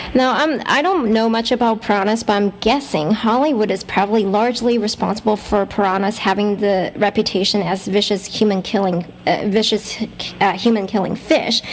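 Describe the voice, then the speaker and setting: Noticeable background noise sits behind a woman with a fairly high pitch. She talks at a fairly quick pace, with ordinary pitch variation and very even loudness. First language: Mandarin. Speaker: radio host. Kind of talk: radio interview. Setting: radio show.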